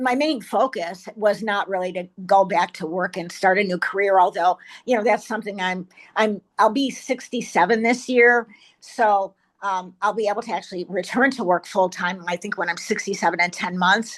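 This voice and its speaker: A woman speaks at a moderate pace with a medium pitch and ordinary pitch variation. The background is quiet. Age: 60s. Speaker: peer speaker sharing experience of a work program. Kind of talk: testimony. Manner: halting, many repetitions.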